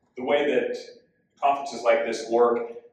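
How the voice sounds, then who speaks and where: Speaking with fairly even intonation, a man is heard with audible room echo. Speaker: mystery author. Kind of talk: conference presentation. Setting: conference stage with live audience. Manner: loud.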